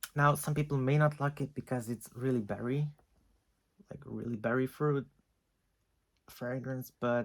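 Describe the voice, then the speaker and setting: With a non-native accent, a man speaks at a moderate pace with a medium pitch, fairly even intonation and long, frequent pauses. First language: not English. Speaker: fragrance reviewer. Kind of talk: casual talk to camera.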